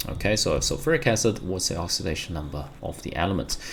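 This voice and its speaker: A man speaks with a non-native accent. His pitch is very deep and low. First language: not English. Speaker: chemistry teacher. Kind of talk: tutorial. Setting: recording at home during lockdown. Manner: spontaneous, conversational.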